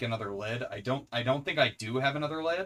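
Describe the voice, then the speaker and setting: In an American accent, a man speaks at a medium pitch. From US Pacific Northwest. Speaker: streamer. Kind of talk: live stream cooking chat. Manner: loud; animated.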